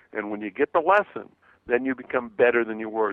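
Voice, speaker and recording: A man with an ordinary speaking voice at a fairly quick pace. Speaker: motivational speaker and author. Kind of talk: radio interview.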